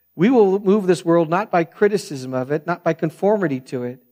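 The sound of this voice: Soft-spoken and fairly high-pitched, a man talks at a fairly quick pace with lively intonation and a slightly mellow tone.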